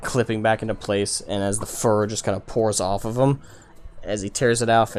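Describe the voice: Fairly even intonation in plain reading aloud.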